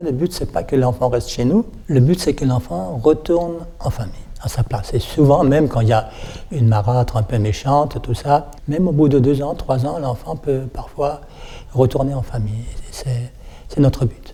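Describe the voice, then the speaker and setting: A man's medium-pitched voice with a dark, mellow tone, somewhat breathy, at a moderate pace with ordinary pitch variation. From Alsace, France (Colmar). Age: 70s. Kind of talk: interview testimony. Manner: halting, repeats words.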